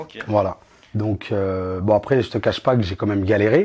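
A normal speaking voice from a man, fairly low in pitch, at a moderate pace. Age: 20s. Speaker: property investor. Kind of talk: interview.

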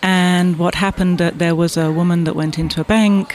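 Amid noticeable background noise, a woman with a southwest England accent talks at a fairly quick pace with ordinary pitch variation. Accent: English (southwest England, refined). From Bath, southwest England. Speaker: business owner and association president. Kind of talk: casual interview. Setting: event interview.

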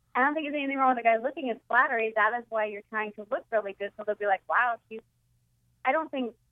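A woman with a Boston accent, fairly high pitch and lively intonation. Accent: Boston East Coast. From Boston area, Massachusetts. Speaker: comedian guest. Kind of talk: casual chat.

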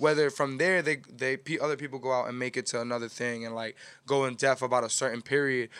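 Very fast speech from a man with an American accent, medium in pitch, with fairly even intonation, on a very clean recording with a silent background. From New York City, Washington Heights. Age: 20s. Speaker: music promoter and media network founder. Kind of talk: casual chat. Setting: studio.

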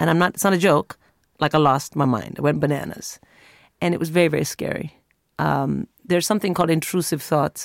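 At a fairly quick pace, a woman with a very deep, low voice and vocal fry speaks with ordinary pitch variation, in a very clean, dry, close recording with a silent background and no echo. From India. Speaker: stand-up comic. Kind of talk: interview chat.

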